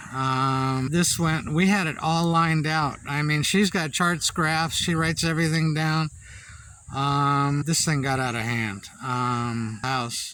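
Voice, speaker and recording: At a very slow pace, a man with a fairly high pitch and a bright, sharp tone speaks with ordinary pitch variation. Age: 60s. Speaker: vlogger. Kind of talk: casual chat. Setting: outdoors. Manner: halting.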